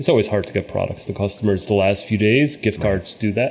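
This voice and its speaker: A man with a fairly low pitch speaks at a fairly quick pace in an unremarkable speaking voice. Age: 40s. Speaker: company founder and CEO. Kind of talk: interview.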